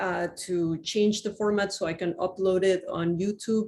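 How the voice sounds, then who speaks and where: This woman's voice sits fairly low in pitch. Her tone is dark and mellow. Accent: Spanish. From Mexico, Cuernavaca. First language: Spanish. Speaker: university astronomy professor. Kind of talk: lecture. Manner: slow.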